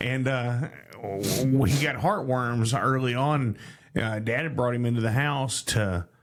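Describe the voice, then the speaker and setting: Noticeable background noise sits behind a man speaking very slowly. His pitch is medium, with ordinary variation. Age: 40s. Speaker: talk show host. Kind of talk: casual chat. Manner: halting.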